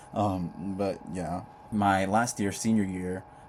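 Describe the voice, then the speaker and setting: A man with a fairly deep voice talks in a fairly flat intonation while background noise is clearly audible. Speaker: vlogger, incoming college student. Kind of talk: casual vlog monologue. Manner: casual, chatty with fillers.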